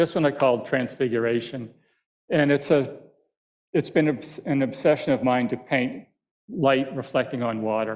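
Against a quiet background, a man with an American accent talks at a moderate pace with ordinary pitch variation and long, frequent pauses. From Boston area, Massachusetts (Quincy); Massachusetts. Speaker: landscape painter. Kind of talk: lecture with painting demo. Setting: auditorium with live audience. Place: hall.

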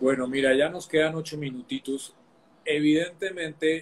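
Fairly high in pitch, a man's voice comes through. He keeps a moderate pace. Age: 50s. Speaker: online talk show host, personal growth; interview host. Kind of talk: interview on live stream. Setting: live video stream. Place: home room. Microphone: video call.

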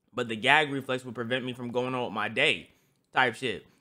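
With a quiet background, the delivery holds a moderate pace. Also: man. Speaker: streamer. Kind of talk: casual reaction commentary. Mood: joking, laughing. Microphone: studio mic.

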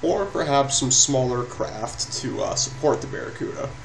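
Fairly high in pitch, a man speaks with fairly even intonation amid noticeable background noise. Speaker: gaming YouTuber. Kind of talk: gameplay commentary. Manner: hesitant, filler-heavy.

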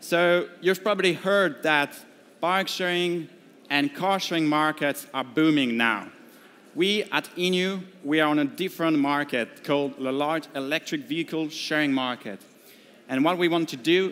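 This man's delivery moves at a moderate speed, and his pitch varies an ordinary amount. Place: hall. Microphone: headset.

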